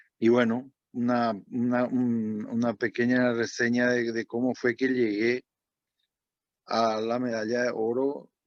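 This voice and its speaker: A man speaks very slowly in a flat monotone, with a dry, close sound and no echo. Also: medium pitch for a man. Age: 60s. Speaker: former diving champion. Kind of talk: talk to students. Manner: halting.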